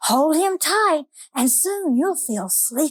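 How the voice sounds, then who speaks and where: Using a squeaky put-on character voice, a woman speaks high-pitched and fairly slowly, with very wide pitch swings. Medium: read story. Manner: soft, soothing.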